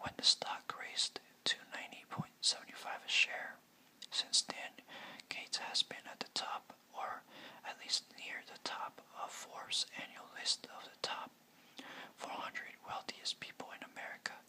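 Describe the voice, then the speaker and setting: Over noticeable background noise comes whispering at a fairly slow pace. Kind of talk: whispered ASMR biography narration. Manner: whispered.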